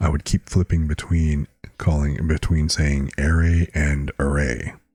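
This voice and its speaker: The voice is somewhat breathy and flat in a monotone, with a dry, close sound and no echo. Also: man. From Filipino-American. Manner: word stress sometimes in unexpected places.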